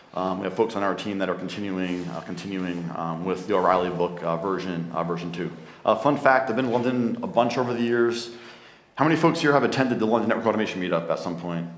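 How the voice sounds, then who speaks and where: Audible room echo surrounds a man with a fairly low pitch. He talks at a very fast pace. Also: ordinary pitch variation. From New Jersey, US. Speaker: tech company founder, conference speaker. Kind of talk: conference talk. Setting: stage with audience.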